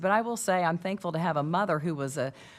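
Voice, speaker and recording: A woman's fairly low-pitched voice with a Southern Illinois accent. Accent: Southern Illinois rural. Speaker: panelist. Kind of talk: panel discussion.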